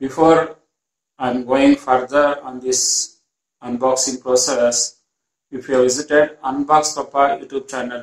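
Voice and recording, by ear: Speaking at a fairly slow pace, a man shows little pitch movement. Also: medium pitch for a man.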